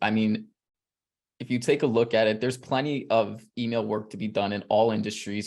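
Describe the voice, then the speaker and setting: On a very clean recording with a silent background, a man with a New York accent talks at a moderate pace in an animated tone and a medium pitch. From New York City. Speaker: email marketer, interviewee. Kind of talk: interview.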